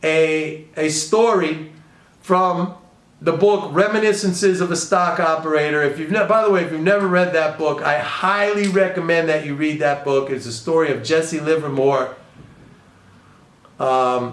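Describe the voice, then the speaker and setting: Over noticeable background noise and audible room echo, a man with a New York accent speaks in an animated tone, his fairly high pitch moving with ordinary variation. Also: moderate pace. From New York City, the Bronx. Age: 60s. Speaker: economics and trading commentator. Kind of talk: casual video commentary.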